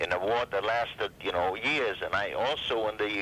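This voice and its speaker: Noticeable background noise sits behind a man talking at a moderate pace. His pitch varies in an ordinary way. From Carpathian region, Eastern Europe. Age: 70s. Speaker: Holocaust survivor and war veteran. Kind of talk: oral history interview. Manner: halting, with repetitions.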